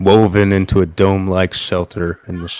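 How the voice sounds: Someone reads aloud in a natural reading voice.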